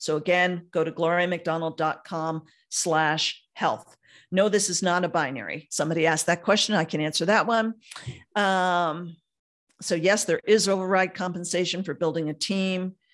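Woman at a fairly low pitch with an unremarkable speaking voice, fairly even intonation and a moderate pace against a quiet background. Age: 60s. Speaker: network marketer hosting a webinar. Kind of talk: sales pitch. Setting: video call. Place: home room. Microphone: studio mic.

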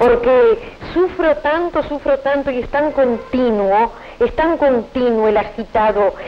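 Very slow speech from a woman, with lively intonation. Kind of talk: interview answer. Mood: emotional, earnest. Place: home room. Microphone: handheld.

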